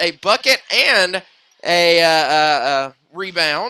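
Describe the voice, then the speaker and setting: A man speaks loudly and very slowly at a high pitch. His tone is bright and sharp, his intonation lively. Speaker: sports play-by-play announcer. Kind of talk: live sports commentary. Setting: high school gym, live broadcast.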